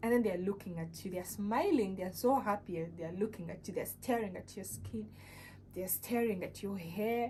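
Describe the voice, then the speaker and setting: Over background music and with audible room echo, a woman of medium pitch speaks at a moderate pace with a non-native accent. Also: ordinary pitch variation, big swings in loudness. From Uganda. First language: not English. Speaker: vlogger. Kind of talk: casual vlog talk. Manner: halting, many fillers.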